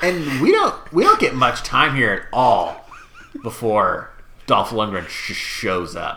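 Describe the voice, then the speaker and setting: Someone with an American accent speaks at a very slow pace over noticeable background noise. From Washington State. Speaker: movie podcast host. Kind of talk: casual chat.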